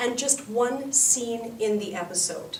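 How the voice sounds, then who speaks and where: A woman speaks with a Canadian accent. There is audible room echo and noticeable background noise. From Canada. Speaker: English teacher. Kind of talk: instructional talk.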